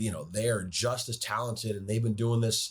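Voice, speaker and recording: Somewhat breathy, a man with an American accent talks at medium pitch. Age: 30s. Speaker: radio play-by-play hockey announcer. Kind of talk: podcast interview answer. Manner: fluent, conversational, enthusiastic.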